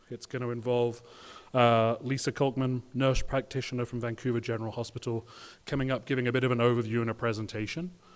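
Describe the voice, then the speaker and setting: A man with a British accent speaks at a medium pitch and a fairly quick pace. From UK. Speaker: patient association board member, session moderator. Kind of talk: conference session introduction.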